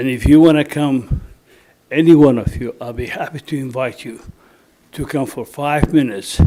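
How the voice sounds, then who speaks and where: At a moderate pace, a man with a non-native accent speaks in a fairly high pitch with a dark, mellow tone, ordinary pitch variation and big swings in loudness. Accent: foreign. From Germany. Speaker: resident speaking at public comment. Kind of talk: public comment at town meeting. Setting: municipal planning commission meeting.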